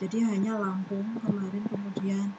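Moderate pace against loud background noise. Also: woman. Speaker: association officer. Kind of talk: online meeting. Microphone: video call.

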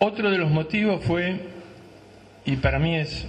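The man's pitch moves in an ordinary way. His pace is fairly slow. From Argentina. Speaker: former football club director; panelist. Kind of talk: panel testimony. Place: hall. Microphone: handheld.

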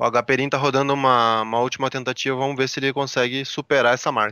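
Talking at a very fast pace, a man with a Brazilian accent keeps a monotone, flat intonation, recorded dry with no echo against a quiet background. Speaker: Brazilian tech journalist co-host. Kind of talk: live commentary. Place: hall. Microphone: headset.

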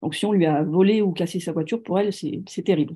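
A woman speaks at a fairly quick pace with a dark, mellow tone and fairly low pitch. Her pitch varies in an ordinary way over a quiet background. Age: 40s. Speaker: author on serial killers; guest, storyteller. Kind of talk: lecture. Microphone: video call.

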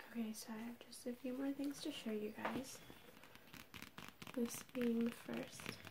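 A soft-spoken voice moves at a fairly slow pace over noticeable background noise. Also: woman. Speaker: vlogger. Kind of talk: casual vlog chat. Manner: soft-spoken, hushed ASMR voice. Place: home room. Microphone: webcam.

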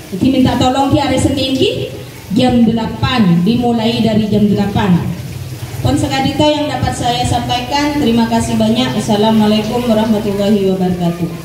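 Speech at a moderate pace comes through audible room echo and noticeable background noise. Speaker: village official or event host. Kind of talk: event speech and emceeing. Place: hall.

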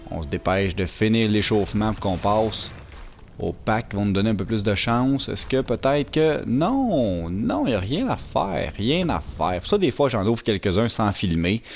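Speaking in a Quebec accent, a man with a fairly low pitch talks at a moderate pace with lively intonation. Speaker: gaming youtuber. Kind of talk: pack opening commentary. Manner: animated.

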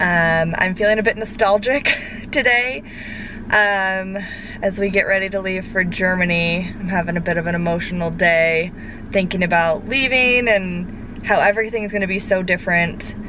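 A woman speaks at a moderate pace with ordinary pitch variation, the sound dry with no echo and noticeable background noise behind her. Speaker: parent vlogger. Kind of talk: casual vlog chat. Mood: nostalgic, a bit emotional. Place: car. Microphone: phone near.

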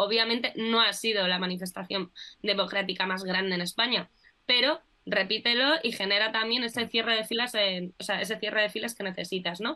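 A woman speaks in a medium pitch at a fairly quick pace. The background is quiet. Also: ordinary pitch variation. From Spain. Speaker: political communication specialist. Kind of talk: casual political discussion. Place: home room. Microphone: video call.

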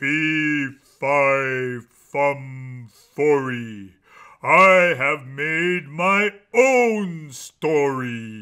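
Putting on a character voice, a man speaks at a very slow pace with a fairly high pitch. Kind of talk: comic overacting. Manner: menacing, slow, loud.

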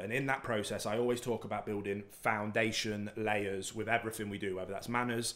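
Monotone, flat intonation marks this man's fairly low voice, which moves at a fairly quick pace. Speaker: dog trainer host. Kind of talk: Q&A explanation. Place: home room. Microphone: studio mic.

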